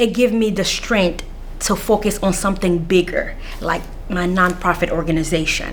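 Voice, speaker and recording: Audible room echo surrounds a woman whose voice sits at a medium pitch. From Central African Republic, raised in Washington DC (Anacostia) from age 7. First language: not English (English is fifth language). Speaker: mental health counselor with a PhD, former scholarship recipient. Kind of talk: interview. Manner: hesitant, many filler sounds.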